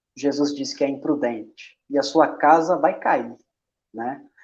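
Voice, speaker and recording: A man speaks at a fairly slow pace with a Minas Gerais accent. His pitch sits fairly high. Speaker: bible study group administrator. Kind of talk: casual chat.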